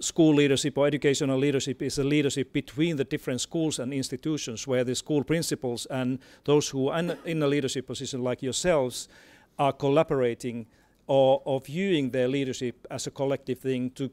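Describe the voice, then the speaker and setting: A man with a Finnish accent and a fairly high pitch talks at a fairly quick pace with fairly even intonation, in a very clean recording with a silent background and a dry, close sound with no echo. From Finland. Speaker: education expert. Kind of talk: panel talk. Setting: stage with audience. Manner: halting, many repetitions.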